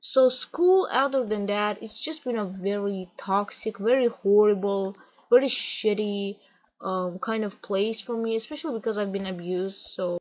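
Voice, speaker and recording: A woman with a non-native accent talks at a fairly slow pace with ordinary pitch variation. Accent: non-native English accent, self-described. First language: not English. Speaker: gaming vlogger. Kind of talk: casual rant over gameplay. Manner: halting, self-correcting.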